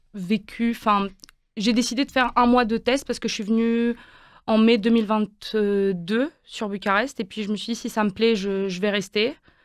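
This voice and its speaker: A woman with a fairly high pitch on a very clean recording with a silent background. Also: fairly even intonation, moderate pace. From Quebec, Montreal (French expat school milieu). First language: Romanian (speaking French). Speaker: university student. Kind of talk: radio interview. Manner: hesitant, many fillers.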